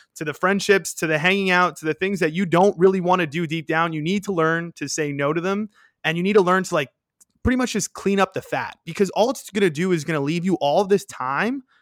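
This man speaks with a New York accent at a high pitch. The recording is very clean with a silent background. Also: dry, close sound with no echo. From New York City (Queens). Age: 20s. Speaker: podcaster and content creator. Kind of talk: casual chat.

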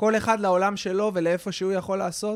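A man is heard in a very clean recording with a silent background. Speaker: podcast host. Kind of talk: casual interview.

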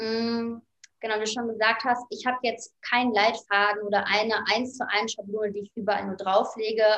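A woman speaks at a moderate pace with a fairly high pitch and monotone, flat intonation. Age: 30s. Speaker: life coach and author. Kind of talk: interview.

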